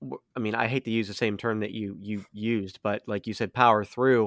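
An American accent at a moderate pace with fairly even intonation, in a dry, close sound with no echo on a very clean recording with a silent background. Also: man. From United States. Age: 30s. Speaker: podcast host. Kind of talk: casual chat. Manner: halting, many fillers.

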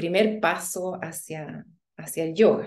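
A woman is speaking. Her pace is very slow. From Chile. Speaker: yoga instructor. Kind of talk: interview conversation.

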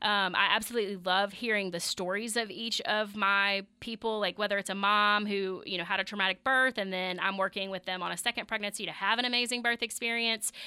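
Speaking in a Mississippi accent, a woman with a medium pitch and a bright, sharp tone talks at a fairly quick pace in a monotone, flat delivery with hardly any pauses. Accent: Southern US (Mississippi). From US South, Meridian, Mississippi. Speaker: physical therapist and clinic owner. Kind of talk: radio interview.

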